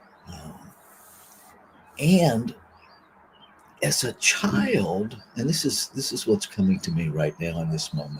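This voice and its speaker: A man's fairly low voice at a very slow pace, with very wide pitch swings, big swings in loudness, long, frequent pauses and noticeable background noise. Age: 60s. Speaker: minister. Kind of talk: reading and spiritual reflection. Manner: reflective, with fillers.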